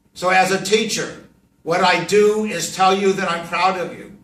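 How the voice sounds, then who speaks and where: A man with a high pitch speaks in a flat, monotone way. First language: Yiddish. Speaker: professor and rabbi. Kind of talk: classroom talk to students.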